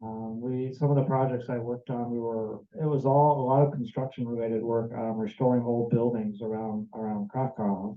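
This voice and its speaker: An American accent from a man at medium pitch, with a fairly quick pace. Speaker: volunteer sharing experience. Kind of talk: testimony. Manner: halting, many fillers and repetitions.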